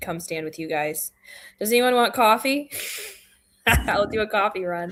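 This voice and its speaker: With a central Michigan accent, a woman talks at medium pitch and a moderate pace with lively intonation. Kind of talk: casual chat.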